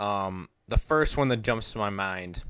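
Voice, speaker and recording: On a very clean recording with a silent background, a man talks at a very slow pace with fairly even intonation. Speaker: baseball content creator. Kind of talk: live stream commentary. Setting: live stream. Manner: loud; casual, filler-heavy.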